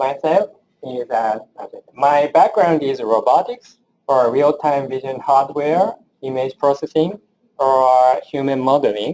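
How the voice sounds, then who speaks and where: A dark, mellow voice with a Japanese accent and ordinary pitch variation. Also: man, fairly high pitch for a man, fairly slow pace. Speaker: engineering professor. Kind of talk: lecture. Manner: halting.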